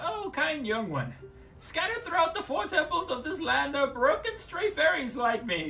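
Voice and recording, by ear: A put-on character voice at a high pitch moves at a moderate pace against clear background noise.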